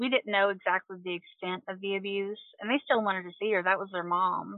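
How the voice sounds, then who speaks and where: A woman speaks with a Kentucky accent. Her pitch sits in the medium range. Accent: Southern US (Kentucky). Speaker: nurse. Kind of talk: casual interview.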